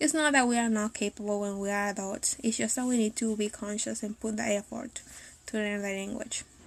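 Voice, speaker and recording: A woman speaks with a Spanish accent. Her pace is moderate and her pitch varies in an ordinary way. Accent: non-native Spanish accent in English. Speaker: language teacher and translator. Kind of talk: live video talk. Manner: hesitant, with fillers.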